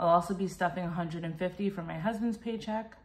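A woman's voice comes through somewhat breathy. Her pitch varies in an ordinary way. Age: 30s. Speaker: cash budgeter. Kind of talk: casual talk to camera. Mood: calm, friendly.

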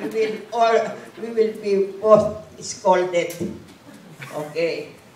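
There is audible room echo and light background noise as a woman with a fairly high pitch talks with ordinary pitch variation. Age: 80s+. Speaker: evangelist. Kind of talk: personal testimony told to a church audience. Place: church. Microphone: camera far.

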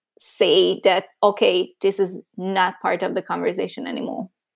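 A woman's medium-pitched voice with a Hungarian accent, fairly slow pace, and a very clean recording with a silent background. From Hungary. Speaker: user researcher. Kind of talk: interview conversation.

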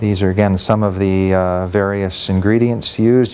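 A man speaks in a plain, everyday voice at a fairly low pitch. His intonation is fairly even and his pace moderate. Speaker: conference presenter. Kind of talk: lecture. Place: hall.

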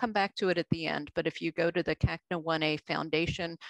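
A woman with a fairly low pitch and ordinary pitch variation speaks in a dry sound with no echo over a quiet background. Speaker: presenter. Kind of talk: lecture. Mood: warm, appreciative. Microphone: video call.

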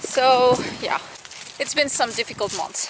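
The recording has light background noise and a dry sound with no echo. A woman is speaking. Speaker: equestrian vlogger and riding coach; equestrian vlogger. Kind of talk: casual vlog talk to camera. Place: farm. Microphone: phone near.

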